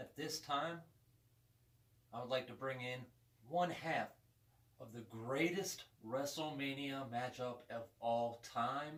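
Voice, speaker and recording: A man with a medium-pitched voice talks at a very slow pace, leaving long, frequent pauses. His intonation is fairly even, and background noise is noticeable. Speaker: interviewer, wrestling show host. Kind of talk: talk-show interviewer.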